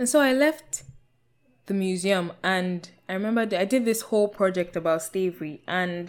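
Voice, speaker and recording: On a very clean recording with a silent background, a woman with a Nigerian accent speaks at a medium pitch and moderate pace, her pitch varying in an ordinary way. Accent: Nigerian (Yoruba) English. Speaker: podcast host. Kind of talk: personal monologue podcast.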